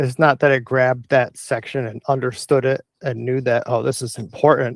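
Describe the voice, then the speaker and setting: A man's medium-pitched voice at a moderate pace, dry and close with no echo, on a very clean recording with a silent background. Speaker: tech explainer video host. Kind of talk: informal explainer monologue. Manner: rambling, self-correcting.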